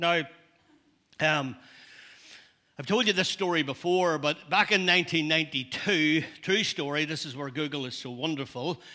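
A man with a Northern Irish accent talks at a fairly slow pace in a bright, sharp tone at fairly high pitch, with ordinary pitch variation, big swings in loudness, and long, frequent pauses. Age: old. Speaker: pastor. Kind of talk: sermon. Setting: church.

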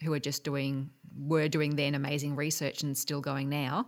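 In an Australian accent, a woman speaks at a moderate pace with a very deep, low pitch on a very clean recording against a silent background. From Australia, Geelong. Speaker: medical researcher. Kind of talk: interview.

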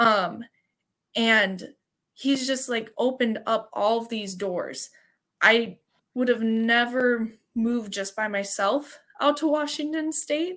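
A woman with a Wisconsin accent speaks very slowly at a fairly high pitch, with ordinary pitch variation. She takes long, frequent pauses on a very clean recording with a silent background. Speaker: CrossFit athlete and teacher. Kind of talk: interview.

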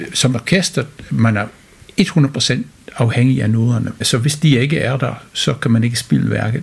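A man speaks at a fairly slow pace and medium pitch, with ordinary pitch variation and noticeable background noise. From United Kingdom. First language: English (speaking Danish). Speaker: orchestra conductor. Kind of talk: interview. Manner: hesitant, many fillers.

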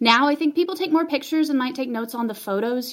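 A woman talking at a very fast pace with lively intonation over noticeable background noise. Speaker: visual artist, installation.

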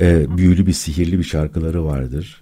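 Pace stays moderate. The tone is dark and mellow. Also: man. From Istanbul, Turkey. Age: 60s. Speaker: philosophy academic. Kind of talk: radio interview. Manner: hesitant, many filler sounds.

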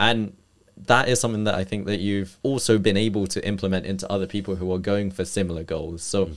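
A man with a normal speaking voice, fairly low in pitch, fairly even in intonation and fairly quick in pace, on a very clean recording with a silent background. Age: 20s. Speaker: fitness coach and podcast host. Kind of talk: podcast interview.

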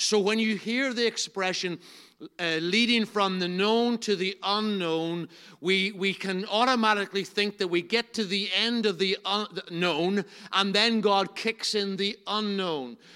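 In a Northern Irish accent, a man with a high pitch projects a raised voice, his tone bright and sharp, at a fairly slow pace. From Northern Ireland. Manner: loud, animated.

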